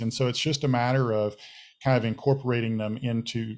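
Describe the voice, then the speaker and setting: An unremarkable speaking voice, this man talks at a medium pitch and a fairly quick pace with fairly even intonation. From United States. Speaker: technology panelist. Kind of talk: webinar panel discussion.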